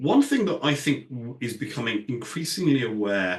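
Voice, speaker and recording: A man with a British accent speaks at a moderate pace amid audible room echo. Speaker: industry analyst. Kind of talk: conference talk. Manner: hesitant, many fillers.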